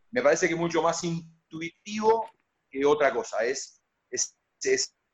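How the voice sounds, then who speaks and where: A man with a fairly high pitch uses a plain, everyday voice with lively intonation. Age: 50s. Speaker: basketball coach. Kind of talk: radio interview.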